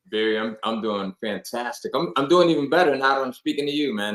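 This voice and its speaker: In a normal speaking voice, a man with an American accent talks at a fairly quick pace, medium in pitch, with ordinary pitch variation. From Bridgeport, Connecticut, US. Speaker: internet marketer and author. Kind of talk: casual interview.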